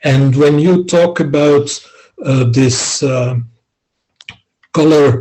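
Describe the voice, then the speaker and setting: The speaker has a non-native accent and a somewhat breathy voice. The pace is very slow. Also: man. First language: not English. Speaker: philosophy scholar. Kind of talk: academic discussion. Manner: halting, many fillers.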